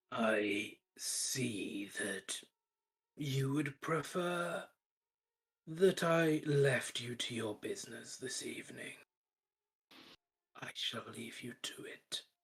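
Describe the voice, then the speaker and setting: Putting on a character voice, a man with a fairly high pitch talks very slowly, leaving long, frequent pauses and swinging widely in loudness. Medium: actual play. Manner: formal, condescending.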